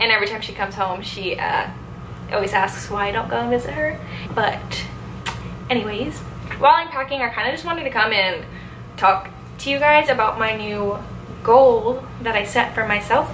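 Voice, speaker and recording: Against noticeable background noise, a woman talks at a moderate pace. She leaves long, frequent pauses, and her pitch varies in an ordinary way. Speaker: vlogger. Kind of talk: casual vlog chat. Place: home room. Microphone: phone near.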